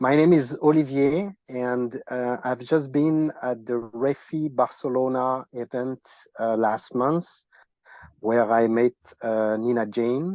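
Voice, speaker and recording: Man with a strong French accent, medium pitch and ordinary pitch variation, at a very slow pace. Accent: heavy French. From France. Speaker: land project owner. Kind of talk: self-introduction on group video call. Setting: video call. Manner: halting.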